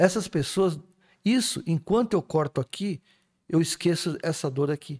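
High-pitched male speech at a fairly slow pace over a quiet background. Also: ordinary pitch variation. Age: 60s. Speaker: spiritist speaker; speaker. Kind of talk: casual chat. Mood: calm, explanatory. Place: studio. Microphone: studio mic.

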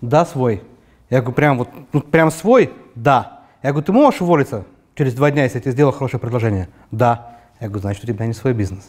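Against a quiet background, a man talks at a very fast pace with long, frequent pauses and ordinary pitch variation. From Urals, Russia (Yekaterinburg); Urals, Russia. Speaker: entrepreneur; guest. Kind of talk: interview; interview answer. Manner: hesitant, many fillers. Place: studio. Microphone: lapel.

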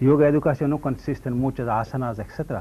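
A man talks at a moderate pace in a medium pitch, with fairly even intonation and a dark, mellow tone. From India, Mangalore. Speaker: yoga and ayurveda teacher. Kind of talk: TV interview. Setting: TV studio. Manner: halting. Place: studio. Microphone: lapel.

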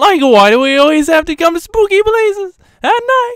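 The voice is a put-on character voice at extremely high pitch. Its pitch swings very widely. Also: moderate pace. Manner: nervous, whiny.

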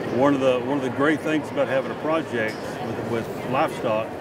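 Dry sound with no echo, loud background noise, and a moderate pace. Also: man. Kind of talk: interview answer. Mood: proud, warm. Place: hall.

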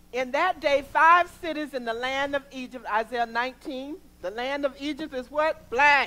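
A woman's raised, projected voice at a fairly slow pace, with ordinary pitch variation. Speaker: pastor. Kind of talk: sermon. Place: church.

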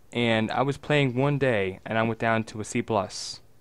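This man has a normal speaking voice at a medium pitch, with fairly even intonation. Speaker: gaming podcast co-host. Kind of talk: casual chat. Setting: online voice call.

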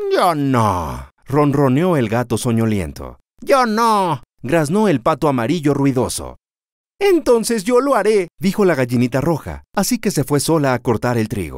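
This man's fairly high voice moves in very wide pitch swings at a fairly slow pace, with an animated, gentle tone. The recording is very clean, with a silent background. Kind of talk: children's story reading, scripted narration. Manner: animated storyteller, gentle pacing; changes voice for each animal, with a repeated refrain.

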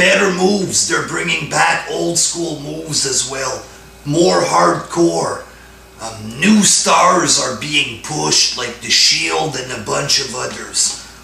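A man at a very slow pace, with audible room echo and light background noise. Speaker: wrestling fan vlogger. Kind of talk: commentary rant. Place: home room. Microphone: camera far.

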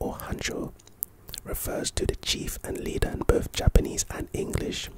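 A soft-spoken man whispering at a moderate pace, the sound dry with no echo, against noticeable background noise. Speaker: content creator. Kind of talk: reading an article aloud with casual commentary. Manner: soft close-mic ASMR whisper. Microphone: studio mic.

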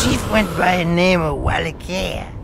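Clear background noise sits behind a man's voice. He speaks fairly slowly at a high pitch. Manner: rambling, conspiratorial storytelling.

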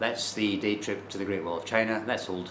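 A man's fairly low voice at a fairly quick pace, with light background noise and audible room echo. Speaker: travel vlogger. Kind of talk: casual vlog chat. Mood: rueful, disappointed. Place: home room. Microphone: phone near.

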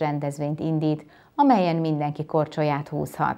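A woman speaks at a fairly slow pace in a very deep, low pitch. Music plays in the background. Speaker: news anchor. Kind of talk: news reading. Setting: studio. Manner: formal. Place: studio.

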